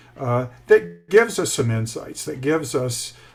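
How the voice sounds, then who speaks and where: The voice belongs to a man with an American accent. It sounds somewhat breathy. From US South, South Carolina. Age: 60s. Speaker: author and mentor, retired IT manager. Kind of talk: interview. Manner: halting, many fillers.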